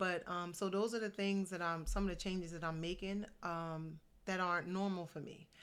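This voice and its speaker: The woman's pitch is fairly low. She delivers her words in a monotone, flat intonation. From New Jersey. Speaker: motivational vlogger. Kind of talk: casual vlog monologue. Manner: normally very fast. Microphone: good-sounding mic.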